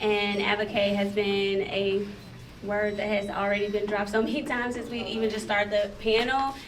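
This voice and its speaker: Speaking at a moderate pace, a woman holds a medium pitch with monotone, flat intonation. Room echo and background noise are both noticeable. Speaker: festival founder, panelist. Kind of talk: panel discussion.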